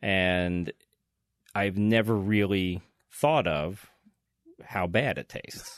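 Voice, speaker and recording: A man's fairly low voice at a very slow pace, with long, frequent pauses and ordinary pitch variation. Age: 40s. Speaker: ER doctor. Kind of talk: casual chat.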